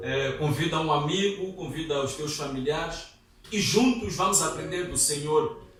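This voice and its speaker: A man's voice, fairly high in pitch, carries audible room echo. Noticeable background noise runs underneath. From Mozambique, Maputo. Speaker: seminarian preacher. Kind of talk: sermon. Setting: church.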